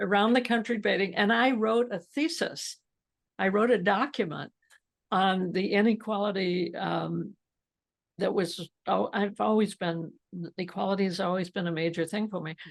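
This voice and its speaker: An American accent with vocal fry, a moderate pace and ordinary pitch variation, over a quiet background. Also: woman, medium pitch for a woman. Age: 80s+. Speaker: entrepreneur. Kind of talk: interview. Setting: podcast.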